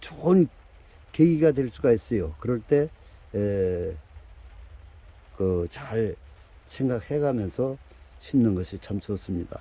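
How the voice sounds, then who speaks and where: A man with a dark, mellow tone speaks very slowly, his pitch swinging very widely between long, frequent pauses. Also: medium pitch for a man. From Korea, dialect region. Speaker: bonsai grower. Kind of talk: tutorial. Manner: halting, many fillers.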